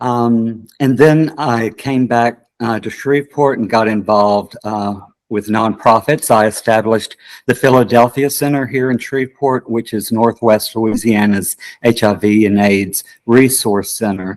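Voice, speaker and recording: A man's plain, everyday voice at a medium pitch, with a fairly slow pace and fairly even intonation. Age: 60s. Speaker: political candidate, theater director. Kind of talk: interview.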